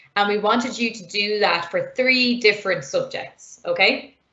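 Audible room echo surrounds a woman as she speaks. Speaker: online programming teacher. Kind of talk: lecture. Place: home room. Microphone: webcam.

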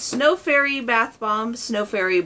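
A woman's voice over noticeable background noise. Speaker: beauty haul vlogger. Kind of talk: casual vlog chat. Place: home room. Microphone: camera far.

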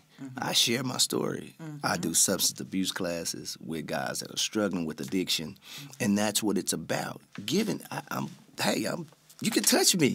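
This man's voice is fairly low and carries vocal fry. His pitch swings very widely. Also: moderate pace. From Memphis, Tennessee (Orange Mound). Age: 50s. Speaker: singer and mental health therapist. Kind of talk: casual interview chat. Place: studio. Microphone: studio mic.

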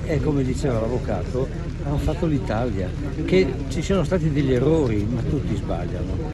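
A man speaks fairly quickly, his pitch rising and falling in the usual way, while loud noise fills the background. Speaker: interviewee. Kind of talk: interview answer. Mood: somber, reflective. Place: rain. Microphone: handheld.

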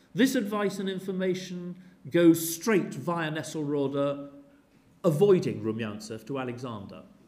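A man speaks at a fairly slow pace with a high pitch and very wide pitch swings. Audible room echo surrounds his voice. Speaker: history professor. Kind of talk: lecture; Q&A answers. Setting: lecture theatre with audience. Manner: seated while speaking.

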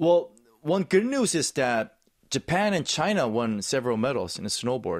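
Spoken in a Korean accent at a moderate pace, the voice makes very wide pitch swings. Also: man, fairly high pitch for a man. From South Korea. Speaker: actor and snowboard commentator; interview guest, sports commentator. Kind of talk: interview. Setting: studio. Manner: enthusiastic. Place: studio. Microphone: studio mic.

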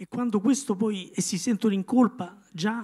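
A man's high-pitched voice at a fairly slow pace, with ordinary pitch variation, over a quiet background. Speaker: neurologist and author. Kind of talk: book presentation talk. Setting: stage with audience. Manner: halting. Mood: reflective, serious. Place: hall. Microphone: handheld.

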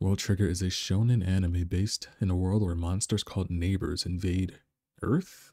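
Somewhat breathy, a man's very deep, low voice has a dark, mellow tone and fairly even intonation. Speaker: anime reviewer. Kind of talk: casual anime review talk.

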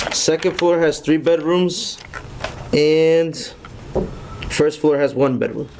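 A man's fairly high voice, very slow and broken by long, frequent pauses, with very even loudness, fairly even intonation and noticeable background noise. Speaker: building contractor; contractor presenting to board. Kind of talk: public hearing presentation. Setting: town hall meeting room. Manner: formal. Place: meeting room. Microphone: podium.

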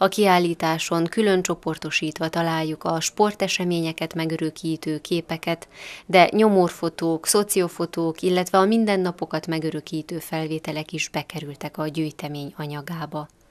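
A woman with an unremarkable speaking voice talks at a moderate pace with hardly any pauses, her pitch fairly low and her intonation fairly even, in a very clean recording with a silent background and a dry, close sound with no echo. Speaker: news reporter. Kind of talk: news report.

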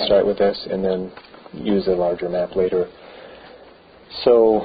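Over light background noise, a man with a fairly low pitch speaks at a very slow pace, leaving long, frequent pauses. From Beaver Island, Michigan, USA. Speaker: local historian. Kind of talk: oral history interview. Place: church.

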